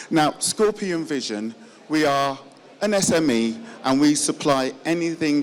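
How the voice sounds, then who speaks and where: There is noticeable background noise behind a man talking. His pitch is fairly high and his pace fairly slow. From northern England, Yorkshire. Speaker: business representative. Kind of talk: conference presentation.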